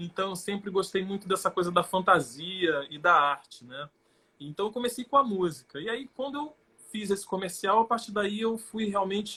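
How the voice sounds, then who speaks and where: A man with a high voice projects it loudly at a moderate pace, his intonation lively and his loudness swinging widely. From Rio de Janeiro state, Brazil (São Gonçalo). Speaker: actor. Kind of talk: interview on a live stream.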